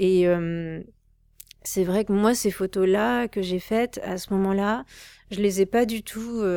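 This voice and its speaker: Very slowly, a woman speaks with long, frequent pauses. Her tone is dark and mellow, her pitch medium, with ordinary pitch variation. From Paris suburbs, France. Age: 30s. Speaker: artist. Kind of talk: interview. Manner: halting, many fillers.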